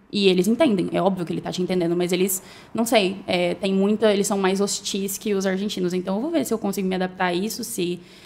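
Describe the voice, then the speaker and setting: Speaking very fast, a woman keeps a medium pitch. Her intonation stays fairly even. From Brazil, Cuiabá, Mato Grosso. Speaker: newly graduated doctor. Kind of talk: casual chat.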